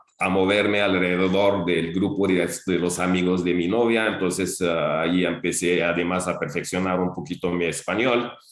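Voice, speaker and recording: Audible room echo follows a man's speech. His pitch is very deep and low. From Algeria. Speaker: retired teacher and school director. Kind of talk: interview. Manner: halting, many fillers and repetitions.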